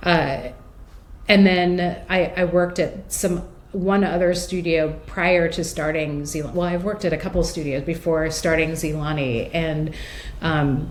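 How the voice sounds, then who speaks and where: A woman with an American accent and a fairly low pitch, fairly slow and fairly even, amid audible room echo and noticeable background noise. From United States. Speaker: stained glass conservator, business founder. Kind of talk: interview. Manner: many fillers and hesitations.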